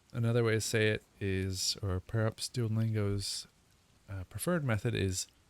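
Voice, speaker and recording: The recording is very clean, with a silent background and a dry, close sound with no echo. A man talks at a fairly low pitch and moderate pace with ordinary pitch variation. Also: long, frequent pauses. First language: not German (English speaker learning German). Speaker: language learner streamer. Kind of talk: casual language-learning livestream. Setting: live stream at home. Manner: halting, thinking aloud.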